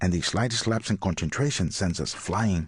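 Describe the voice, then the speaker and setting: Against a quiet background, a man talks at a fairly quick pace with a Latin American accent and ordinary pitch variation. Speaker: audiobook narrator. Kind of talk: audiobook memoir narration. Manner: smooth, clear.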